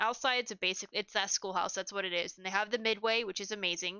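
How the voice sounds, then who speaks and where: A woman speaks at medium pitch with fairly even intonation. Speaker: podcaster reviewing haunted houses. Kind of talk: casual review monologue. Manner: fast; halting, many fillers.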